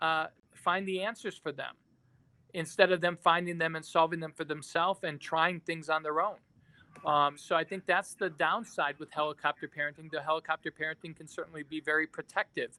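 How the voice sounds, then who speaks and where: A man's fairly high-pitched, bright, sharp voice at a fairly quick pace, fairly even in intonation, with big swings in loudness and a dry, close sound with no echo. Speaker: psychiatry professor. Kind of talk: webinar Q&A. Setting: online webinar. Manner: fast; halting, many fillers.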